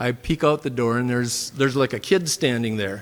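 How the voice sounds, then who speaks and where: A man speaks with a Minnesotan accent and a fairly even intonation. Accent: Minnesota. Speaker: church member. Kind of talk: testimony. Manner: halting, many fillers.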